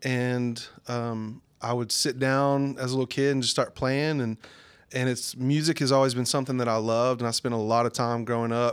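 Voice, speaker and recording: Over a silent background in a very clean recording, a man with a Southern US accent talks at a moderate pace in a medium pitch with monotone, flat intonation. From southern Arkansas, US South. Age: 30s. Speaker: worship pastor. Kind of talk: casual interview.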